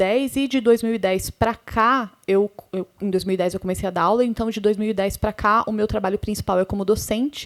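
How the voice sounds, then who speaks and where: A woman with a plain, everyday voice, fairly even intonation and a moderate pace, on a very clean recording with a silent background. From interior of Paraná, Brazil. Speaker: sound editor and professor. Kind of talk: panel talk.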